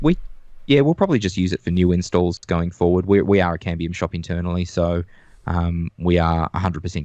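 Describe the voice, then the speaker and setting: A man with an Australian accent speaks at a fairly quick pace in a very deep, low voice. The sound is dry and close with no echo, over a quiet background. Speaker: network engineer. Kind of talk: casual tech discussion.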